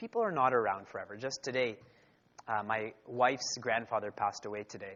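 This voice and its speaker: Speaking with a Canadian accent, a man with an unremarkable speaking voice talks at a fairly quick pace and medium pitch, with fairly even intonation. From Canada. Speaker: spiritual teacher. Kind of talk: lecture.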